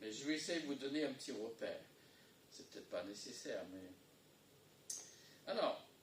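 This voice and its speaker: A man talks at a moderate pace, leaving long, frequent pauses. His loudness swings widely, and the room echo is audible. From English-speaking country. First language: English (speaking French). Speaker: pastor. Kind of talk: sermon. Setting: church. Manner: halting.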